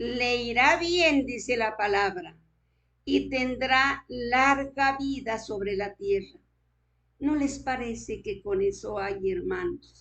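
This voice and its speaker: Against a quiet background, a woman speaks in a high voice with lively intonation. Her pace is very slow. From Colombia, Boyacá. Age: 80s+. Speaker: preacher. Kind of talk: sermon.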